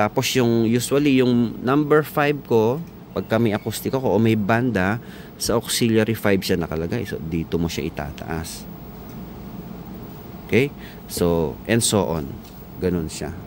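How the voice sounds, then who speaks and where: A man speaks at a fairly slow pace with a fairly low pitch and lively intonation. Long, frequent pauses break up his speech over noticeable background noise. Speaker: sound system operator and vlogger. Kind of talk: tutorial. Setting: on site at a wedding event. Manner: casual, conversational.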